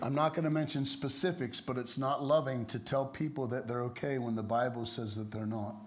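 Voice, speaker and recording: A man with ordinary pitch variation, hardly any pauses, and audible room echo. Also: medium pitch for a man, moderate pace. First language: English (speaking German). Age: 60s. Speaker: preacher. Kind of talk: sermon.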